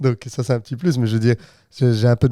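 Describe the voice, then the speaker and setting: Recorded dry and close with no echo, the voice has a dark, mellow tone and fairly even intonation. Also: man. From Flanders, Belgium. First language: Dutch (Flemish) (speaking French). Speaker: podcast co-host. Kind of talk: casual chat. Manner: halting.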